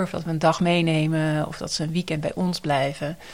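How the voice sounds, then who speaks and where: At a moderate pace, a woman with a normal speaking voice talks at a fairly low pitch. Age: 40s. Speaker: nurse educator and researcher. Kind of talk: interview about personal experience.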